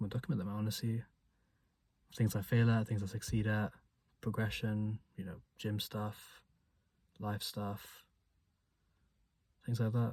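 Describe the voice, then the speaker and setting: On a very clean recording with a silent background, a man with a fairly low, somewhat breathy voice speaks fairly slowly in a flat monotone, leaving long, frequent pauses. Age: 20s. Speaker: vlogger. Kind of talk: casual vlog monologue. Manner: stutters.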